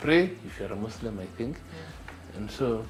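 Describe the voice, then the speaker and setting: The speaker's intonation is lively at a moderate pace. Noticeable background noise runs underneath. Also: man. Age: 60s. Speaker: urologist and entrepreneur. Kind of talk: interview answer.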